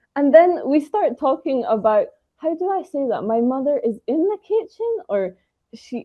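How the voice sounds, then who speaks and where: A woman with a high pitch talks at a moderate pace, her voice making very wide pitch swings. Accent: British. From Britain. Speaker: English trainer. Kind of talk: interview.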